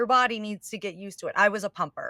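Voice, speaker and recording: Bright and sharp in tone, the speaker moves at a fairly quick pace in a very clean recording with a silent background and a dry, close sound with no echo. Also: woman. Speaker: podcast host. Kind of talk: casual podcast conversation.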